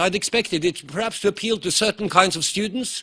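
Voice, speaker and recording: Over noticeable background noise, a man with a high pitch and ordinary pitch variation speaks at a fairly quick pace in a raised, projected voice, the sound dry and close with no echo. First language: Norwegian. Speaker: professor. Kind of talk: conference lecture. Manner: fast.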